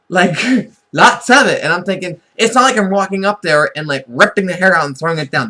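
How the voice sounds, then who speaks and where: Raising and projecting his high-pitched voice, a man speaks at a fairly quick pace with lively intonation and an animated tone. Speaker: vlogger. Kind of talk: casual monologue vlog. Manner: fast.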